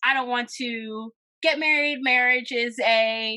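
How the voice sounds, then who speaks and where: Loud and bright with a sharp edge, a woman with an American accent speaks at a fairly high pitch with ordinary pitch variation. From Philadelphia, US Northeast. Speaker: talent coordinator and event curator. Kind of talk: podcast interview, casual chat. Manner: loud and outgoing; animated.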